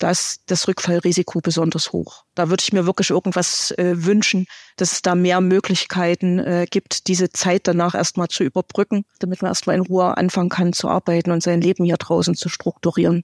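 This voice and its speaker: Flat, monotone intonation runs at a fairly quick pace with hardly any pauses. The recording is very clean with a silent background and a dry, close sound with no echo. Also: woman, fairly low pitch for a woman. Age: 50s. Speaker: probation officer. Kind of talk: interview.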